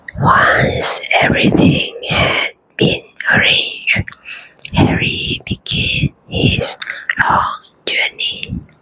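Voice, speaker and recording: Very slow whispering with long, frequent pauses. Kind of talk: ASMR bedtime story. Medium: read story. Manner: slow, calm, soothing.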